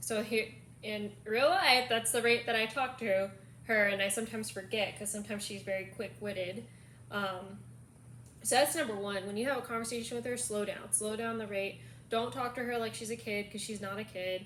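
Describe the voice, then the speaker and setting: A woman with a fairly high pitch and ordinary pitch variation talks at a fairly quick pace, with noticeable background noise and audible room echo. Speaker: caregiver vlogger. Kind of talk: casual chat.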